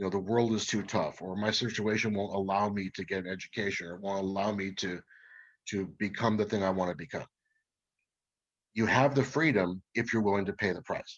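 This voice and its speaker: This man has an ordinary speaking voice, pitched fairly low and delivered at a fairly quick pace. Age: 40s. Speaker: emergency manager and motorcycle rider. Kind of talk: group discussion on video call. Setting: video call.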